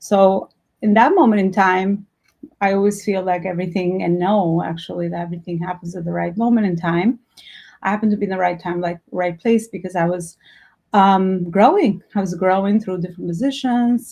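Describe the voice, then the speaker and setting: Against a quiet background, the speaker uses an Albanian accent and a dark, mellow tone, talking at a fairly quick pace with fairly even intonation. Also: woman, medium pitch for a woman. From Albania, moved to New York at fifteen. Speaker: entrepreneur and business coach. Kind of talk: workshop talk.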